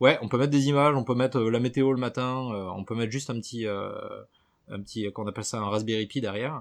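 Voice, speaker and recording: This man speaks at a fairly quick pace in a southern French accent, his medium pitch showing ordinary variation. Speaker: podcast columnist. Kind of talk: casual chat.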